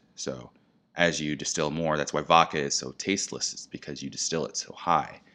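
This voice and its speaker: With an American accent and vocal fry, the voice moves at a moderate pace with fairly even intonation against a quiet background. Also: man, very deep, low pitch for a man. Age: 30s. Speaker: spirits brand educator. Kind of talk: casual interview.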